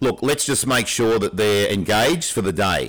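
The speaker uses lively intonation at a moderate pace, in an Australian accent. The recording is very clean, with a silent background. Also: man. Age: 60s. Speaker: teacher and podcast co-host, ex-military. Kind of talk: casual chat.

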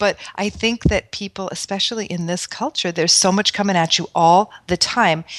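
A woman speaks in a normal speaking voice with an American accent, at medium pitch and a moderate pace. Her pitch varies in an ordinary way, and the sound is dry and close with no echo. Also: very clean recording, silent background. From New York City. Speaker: Ayurvedic practitioner and spa founder. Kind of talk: casual chat.

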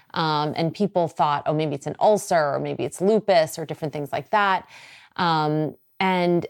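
Close and dry with no echo, a woman talks at a moderate pace and a fairly low pitch with ordinary pitch variation. It is an ordinary speaking voice. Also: very clean recording, silent background. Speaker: radio host, podcast host. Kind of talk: casual chat, personal storytelling. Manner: conversational, warm.

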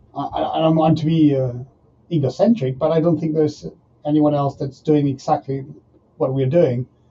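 With long, frequent pauses, a man talks at a moderate pace and fairly high pitch, his voice somewhat breathy and his intonation fairly even. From Argentina. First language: Spanish. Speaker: professional rugby player and entrepreneur. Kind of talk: interview. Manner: halting.

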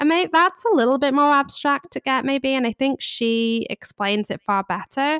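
With a British accent, a high-pitched woman speaks at a moderate pace with lively intonation and hardly any pauses, in a dry, close sound with no echo. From England. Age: 30s. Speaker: guest. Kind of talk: casual chat interview.

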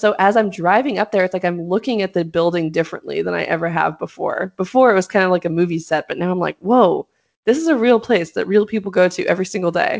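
Speaking very fast, a woman with an American accent uses a medium pitch and ordinary pitch variation. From Los Angeles, California. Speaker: law student podcast co-host. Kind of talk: casual chat. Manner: animated.

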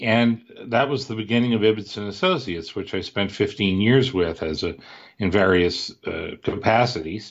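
A man with an American accent talks at a moderate pace in an ordinary speaking voice, fairly low in pitch, with ordinary pitch variation. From US Midwest (Cleveland, Ohio). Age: 60s. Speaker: author and investment researcher. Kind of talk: podcast interview.

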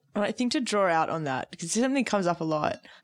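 A woman's very fast, lively-intoned speech on a very clean recording with a silent background. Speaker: lawyer and podcast co-host. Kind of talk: casual chat.

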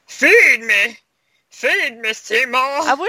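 Pitched high for a woman, her voice is a put-on character voice. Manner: demanding, monstrous.

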